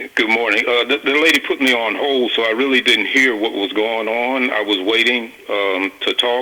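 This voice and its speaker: A man with an American accent speaks at a moderate pace and medium pitch, with fairly even intonation and very even loudness. He barely pauses, and noticeable background noise is present. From Mississippi, US South. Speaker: caller. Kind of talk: call-in radio. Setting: phone call. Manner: halting.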